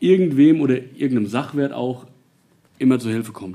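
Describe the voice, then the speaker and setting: A man at medium pitch, moderate pace. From Nassau, Rhineland-Palatinate, Germany. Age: 40s. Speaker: volunteer fire chief. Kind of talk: interview. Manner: hesitant, many filler sounds.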